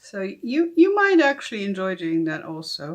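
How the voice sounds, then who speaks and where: A woman with a German accent at a fairly slow pace. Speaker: tarot reader. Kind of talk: casual unboxing tutorial. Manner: hesitant, many fillers.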